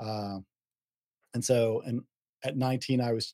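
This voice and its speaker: In an American accent, a man talks at medium pitch with flat, monotone intonation and a dark, mellow tone, the sound dry and close with no echo. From US South. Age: 40s. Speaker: podcast host, IT worker. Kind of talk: casual interview chat.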